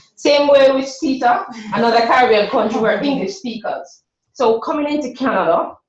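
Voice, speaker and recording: A high-pitched woman's voice with a Jamaican accent, lively intonation, moderate pace and audible room echo. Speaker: workshop presenter for a women's business program. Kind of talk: presentation.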